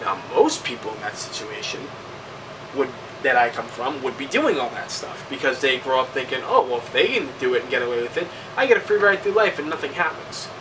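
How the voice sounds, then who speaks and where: The speaker has an American accent and talks at a fairly quick pace. Noticeable background noise runs underneath. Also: man. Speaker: video game reviewer. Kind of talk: casual vlog monologue. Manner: halting.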